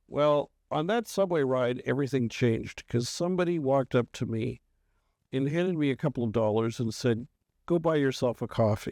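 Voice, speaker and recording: In a Canadian accent, a man speaks fairly quickly at a medium pitch with ordinary pitch variation and a plain, everyday voice, the sound dry and close with no echo. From Canada, Toronto. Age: 60s. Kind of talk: podcast interview.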